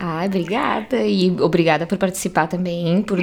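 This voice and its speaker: At a moderate pace, a woman speaks in a fairly low voice with ordinary pitch variation. There is noticeable background noise. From interior of Rio Grande do Sul, Brazil. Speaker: podcast host and clothing brand owner. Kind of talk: casual interview chat.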